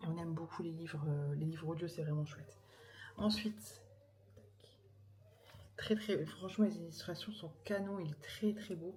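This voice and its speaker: Soft-spoken and somewhat breathy, a woman with a fairly low pitch and a dark, mellow tone uses lively intonation and long, frequent pauses amid audible room echo. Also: moderate pace, big swings in loudness. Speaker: vlogger and mother. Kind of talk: casual vlog talk to camera. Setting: at home in the evening. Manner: soft-spoken, speaking quietly; hesitant, many fillers.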